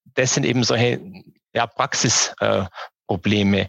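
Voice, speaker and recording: Recorded with a dry, close sound and no echo, a man speaks at a fairly low pitch with ordinary pitch variation. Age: 40s. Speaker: online retail company founder and managing director. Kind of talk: interview. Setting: early morning recording. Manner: halting, many filler sounds.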